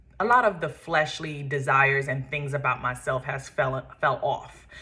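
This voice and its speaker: In a New York accent, a woman with a very deep, low pitch speaks at a moderate pace, her tone bright and sharp and her intonation monotone and flat. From Brooklyn, New York. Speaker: podcast host and makeup artist. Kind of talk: personal testimony. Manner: casual with frequent fillers.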